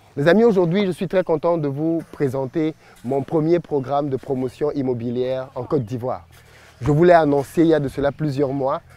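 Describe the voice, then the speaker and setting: Speaking with a Cameroonian accent, this voice has a dark, mellow tone. It keeps a moderate pace with ordinary pitch variation. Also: man, fairly high pitch for a man. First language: Bassa (speaking French). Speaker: entrepreneur and business YouTuber. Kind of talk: promotional vlog presentation.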